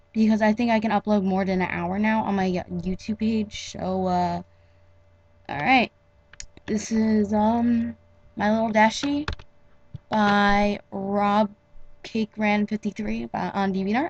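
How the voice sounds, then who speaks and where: A woman speaks very slowly in a somewhat breathy voice at medium pitch. Her intonation is fairly even, broken by long, frequent pauses. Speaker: amateur fanfiction reader. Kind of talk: casual talk to camera. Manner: hesitant, stuttering.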